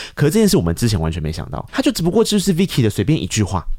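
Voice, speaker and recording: Recorded very cleanly against a silent background, a man speaks in a fairly high-pitched, dark, mellow tone. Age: 30s. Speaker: podcast host. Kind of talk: interview. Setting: studio.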